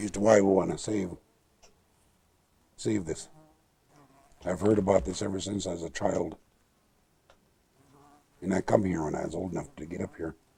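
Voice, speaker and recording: A man speaks at a moderate pace in a dark, mellow tone, somewhat breathy, with fairly even intonation and long, frequent pauses. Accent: American. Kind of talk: storytelling talk about nature and his ancestors. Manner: warm, ready laughter.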